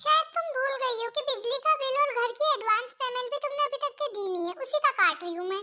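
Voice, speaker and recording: A female-sounding voice is put on as a character, at an extremely high pitch. It rushes at a very fast pace with hardly any pauses. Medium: fan dub. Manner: scolding, bossy.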